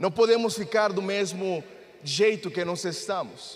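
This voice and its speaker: The man has a Spanish accent. He talks at a very slow pace. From Mexico. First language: Spanish (speaking Portuguese). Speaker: pastor. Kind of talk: sermon.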